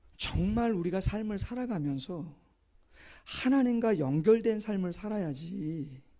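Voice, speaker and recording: With audible room echo, a man with a high pitch and a dark, mellow tone speaks very slowly, his intonation lively. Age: 50s. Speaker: pastor. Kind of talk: sermon. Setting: church.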